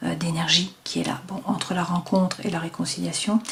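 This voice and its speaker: Against noticeable background noise, a woman talks at a fairly quick pace with a fairly low pitch. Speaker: tarot card reader. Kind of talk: tarot reading. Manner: hesitant, many fillers.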